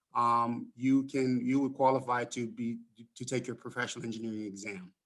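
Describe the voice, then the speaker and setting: Talking at a fairly quick pace, a man uses a Jamaican accent. His pitch is medium and his intonation fairly even. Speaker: mechanical engineer. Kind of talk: casual conversation panel.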